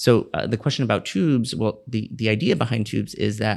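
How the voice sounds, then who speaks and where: A man with an American accent talks at a fairly low pitch with ordinary pitch variation and vocal fry. The recording is very clean, with a silent background. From Miami, Florida. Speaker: pediatrician. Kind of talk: podcast interview.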